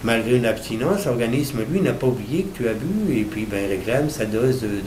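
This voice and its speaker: A man with a medium-pitched voice speaks at a fairly quick pace with lively intonation. Audible room echo and noticeable background noise surround him. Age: 60s. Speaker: recovered alcoholic, association volunteer. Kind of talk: interview testimony. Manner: halting, many repetitions and fillers.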